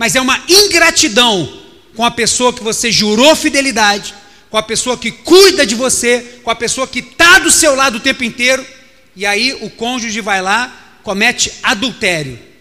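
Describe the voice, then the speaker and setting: A man's raised, projected voice in a Brazilian accent, extremely high in pitch, with an animated tone and lively intonation at a moderate pace over noticeable background noise. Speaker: pastor. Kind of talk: sermon.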